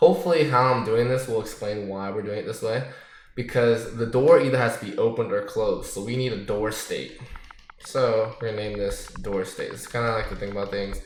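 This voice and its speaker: A man talks fairly quickly at medium pitch with fairly even intonation. Noticeable background noise and audible room echo are present. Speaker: gaming tutorial creator. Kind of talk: tutorial. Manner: casual, filler-heavy.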